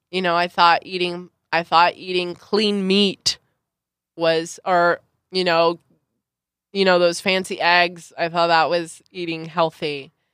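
Speaking in an American accent, a woman talks at a very slow pace and fairly low pitch. Long pauses come often. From Southern California, Santa Clarita Valley. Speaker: beauty pageant and reality TV contestant, performer. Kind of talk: casual interview chat. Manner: animated, expressive.

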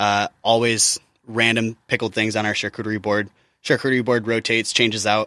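With an American accent, a man speaks fairly quickly at a medium pitch in a bright, sharp tone, his intonation monotone and flat, and the sound dry and close with no echo. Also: very clean recording, silent background. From US Midwest. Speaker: chef. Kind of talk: interview.

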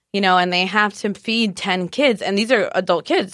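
At a fairly quick pace, a woman talks in a plain, everyday voice with a medium pitch and ordinary pitch variation, on a very clean recording with a silent background. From Mexico-US border (Tijuana, Guadalajara, San Diego). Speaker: chef. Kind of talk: casual chat.

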